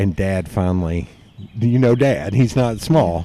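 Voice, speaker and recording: A man with a Southern accent, a dark, mellow tone, lively intonation and a very slow pace. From East Tennessee. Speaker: podcast host. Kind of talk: casual chat.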